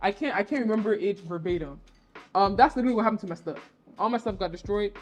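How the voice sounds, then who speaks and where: Over music in the background, a woman with an American accent speaks very fast in an animated tone. Her pitch is medium, with ordinary variation. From US, DMV area (Virginia). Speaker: creative professional and brand ambassador. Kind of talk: podcast interview. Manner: casual, animated storytelling.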